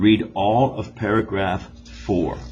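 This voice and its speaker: Music plays behind a man with a very deep, low pitch. Audible room echo surrounds his voice. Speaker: school teacher. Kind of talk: recorded classroom test instructions.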